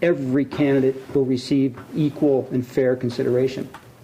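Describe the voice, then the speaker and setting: Noticeable background noise sits behind a man speaking at a moderate pace in a fairly high pitch. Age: 60s. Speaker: city council member. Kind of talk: council meeting debate. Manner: halting.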